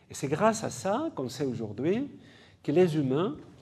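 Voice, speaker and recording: Somewhat breathy and with a non-native accent, a man speaks at a moderate pace with very wide pitch swings, and the room echo is audible. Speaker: geneticist, professor. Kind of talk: public lecture. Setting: conference hall with audience. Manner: halting, with fillers and repetitions.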